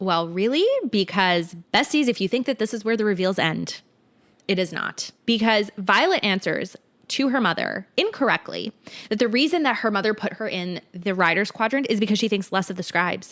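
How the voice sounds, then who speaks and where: A woman speaks in a medium pitch with ordinary pitch variation and an animated tone. The recording is very clean, with a silent background. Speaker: book podcast co-host. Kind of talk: casual chat. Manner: fast.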